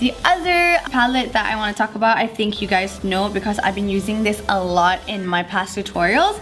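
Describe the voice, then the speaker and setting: Music plays in the background while a woman talks. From Malaysia. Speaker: beauty youtuber. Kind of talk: casual talk to camera.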